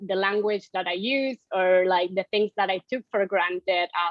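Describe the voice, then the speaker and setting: A woman speaks at a moderate pace with a Spanish accent. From Argentina. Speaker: economics researcher. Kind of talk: interview. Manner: hesitant, repeats words.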